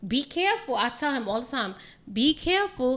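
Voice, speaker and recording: With an American accent, a woman projects a raised, bright, sharp voice at a high pitch, swinging very widely in pitch at a moderate pace. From New York City. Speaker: makeup artist. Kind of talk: casual chat.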